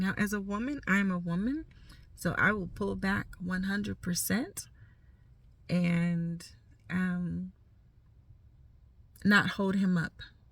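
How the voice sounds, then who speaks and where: Very slow and somewhat breathy, a woman speaks at a medium pitch with fairly even intonation. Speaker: life coach vlogger. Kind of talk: casual talk to camera. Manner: informal, unedited, some stumbling.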